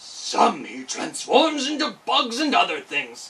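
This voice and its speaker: A woman does a put-on character voice, raspy and growling, at a high pitch. She speaks at a fairly slow pace. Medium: read story.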